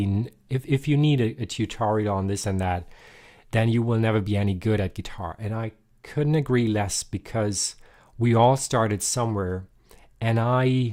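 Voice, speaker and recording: Pitch moves in an ordinary way through a dark, mellow tone. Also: man. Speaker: guitar teacher. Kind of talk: live-streamed guitar tutorial. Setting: live stream. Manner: casual, hesitant with fillers; deliberately lower, louder voice.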